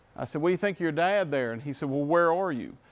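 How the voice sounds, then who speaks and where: Against a quiet background, a man with an American accent talks at a fairly high pitch, his pitch varying in an ordinary way. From West Virginia. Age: 40s. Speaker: industry sales manager, presenter. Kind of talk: trade presentation. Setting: live-streamed seminar with audience.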